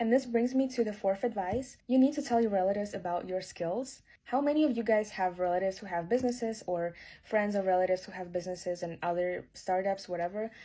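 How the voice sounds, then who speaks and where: In a non-native accent, a woman speaks very fast at a medium pitch with a dark, mellow tone and ordinary pitch variation, on a very clean recording with a silent background. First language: not English. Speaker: video creator giving career advice. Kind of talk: vlog-style advice talk. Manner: casual, conversational with fillers.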